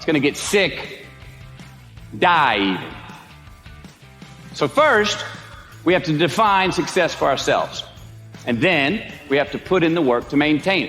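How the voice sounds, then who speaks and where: The speaker talks at a fairly slow pace with lively intonation, big swings in loudness, and a relaxed tone. Long, frequent pauses break it up, with music in the background. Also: man. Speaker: actor. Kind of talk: motivational speech. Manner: relaxed, drawling.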